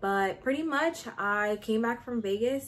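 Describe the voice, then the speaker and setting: A woman at a fairly slow pace, with lively intonation. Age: 20s. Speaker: YouTuber and nursing student. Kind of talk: casual vlog chat. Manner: animated.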